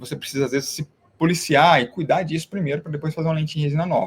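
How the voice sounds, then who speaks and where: A man talks very fast with ordinary pitch variation, recorded dry and close with no echo. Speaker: dentist teaching other dentists. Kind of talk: online live class. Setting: live stream.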